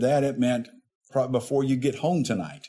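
This man has a Southern US accent and a dark, mellow tone. He speaks at medium pitch and a moderate pace. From Arkansas. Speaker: state insurance regulator. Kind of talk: interview. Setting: on location. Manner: hesitant, many fillers.

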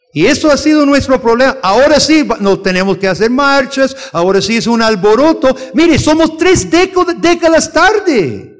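This man's voice is extremely high, with very wide pitch swings and very even loudness. He talks at a fairly slow pace with hardly any pauses. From outside Costa Rica. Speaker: missionary theologian teaching a lesson. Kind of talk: sermon-style lecture to a congregation.

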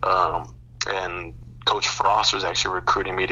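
A man speaks with an American accent at a moderate pace. Noticeable background noise runs under the clip. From Colorado, US (Boulder). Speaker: former college football player and Twitch streamer. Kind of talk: casual interview. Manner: repeats words, false starts.

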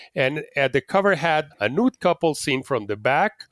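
Speaking with a Spanish accent at a fairly slow pace, the voice has lively intonation in a dry, close sound with no echo. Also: man. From Mexico City. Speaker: nudism advocate. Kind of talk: interview. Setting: video call. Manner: halting.

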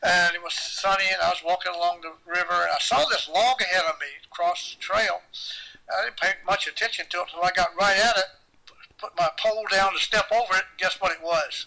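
A raised, projected voice goes at a fairly quick pace with big swings in loudness and ordinary pitch variation. Noticeable background noise is present. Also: man, high pitch for a man. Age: 80s. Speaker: long-distance hiker and paddler. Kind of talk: casual interview. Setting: video call.

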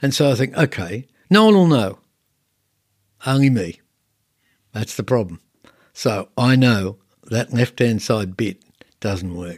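In a dry, close sound with no echo, a man with an Australian accent speaks at a fairly slow pace with long, frequent pauses. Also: medium pitch for a man, lively intonation. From Australia, southern Sydney (Cronulla area). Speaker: landscape painter and art teacher. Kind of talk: casual interview. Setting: artist's studio.

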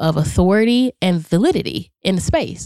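In an ordinary speaking voice, a woman with an American accent talks at a moderate pace and medium pitch. Her intonation is lively, and the sound is dry and close with no echo. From Charlotte, North Carolina. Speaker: motivational speaker and author. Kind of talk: casual interview chat. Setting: studio.

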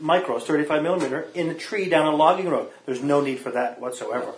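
There is clear background noise as a man speaks in a rather high register. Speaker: co-host, geocacher. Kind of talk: casual chat.

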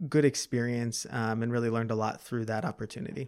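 Very clean with a silent background, this recording has a man with an American accent and an ordinary speaking voice at a medium pitch with fairly even intonation. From Chicago area, US Midwest. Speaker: associate wealth advisor. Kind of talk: interview.

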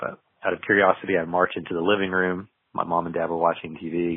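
Very deep and low in pitch, a man speaks with monotone, flat intonation. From US South, southeast Tennessee. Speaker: illusionist and storyteller. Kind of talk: interview.

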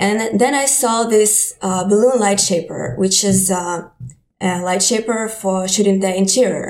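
Speaking fairly slowly in a Ukrainian accent, a woman uses a medium pitch with ordinary pitch variation. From Ukraine. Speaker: digital artist and photographer. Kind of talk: interview.

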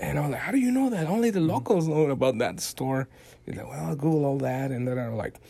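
A man with a fairly high pitch talks at a very fast pace with lively intonation. There is noticeable background noise. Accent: Mexican. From Mexico. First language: Spanish. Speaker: photojournalist. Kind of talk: casual interview.

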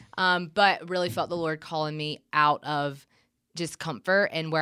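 On a very clean recording with a silent background, a woman with a very deep, low pitch and a bright, sharp tone speaks at a fairly slow pace with fairly even intonation. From US South, middle Georgia (Gray, near Macon). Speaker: church ministry resident. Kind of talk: casual interview. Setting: studio, sitting across from host.

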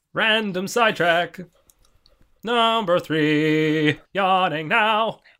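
On a very clean recording with a silent background, a man speaks very slowly in a high, raised, projected voice. His tone is bright and sharp, with ordinary pitch variation. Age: 20s. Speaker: podcast host. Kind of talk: casual chat.

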